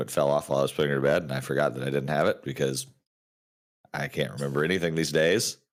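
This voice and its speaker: A man speaks at a very fast pace in a very deep, low voice with vocal fry. His intonation stays fairly even. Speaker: board game streamer. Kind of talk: casual chat. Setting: live stream.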